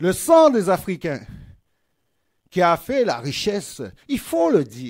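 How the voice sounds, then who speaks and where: Against a quiet background, a man with a high pitch speaks at a very slow pace, leaving long, frequent pauses and swinging his pitch very widely. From Martinique. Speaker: politician. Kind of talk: political rally speech. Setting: stage with audience. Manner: oratorical. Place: hall. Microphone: podium.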